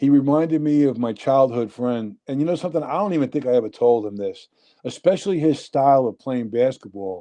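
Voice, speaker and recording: A man with a New York accent talks at a fairly quick pace. His tone is dark and mellow, his pitch medium and his intonation lively. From New Jersey, Union City. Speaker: nightclub owner. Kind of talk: casual chat.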